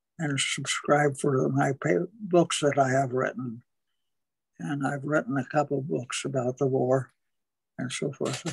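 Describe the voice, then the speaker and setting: Somewhat breathy, the voice moves at a fairly slow pace with ordinary pitch variation. Long, frequent pauses break up the speech. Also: man. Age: 80s+. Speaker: newspaper columnist, war veteran. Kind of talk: interview answer.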